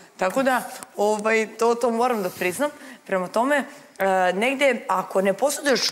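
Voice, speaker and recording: A woman's fairly high voice with lively intonation at a moderate pace. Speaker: reality show contestant. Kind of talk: studio panel discussion. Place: studio.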